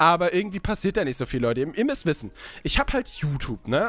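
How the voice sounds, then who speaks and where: Speech comes at a very fast pace with lively intonation. The sound is dry, with no echo. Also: man. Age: 20s. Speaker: gaming YouTuber. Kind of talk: casual let's play commentary. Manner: animated. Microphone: studio mic.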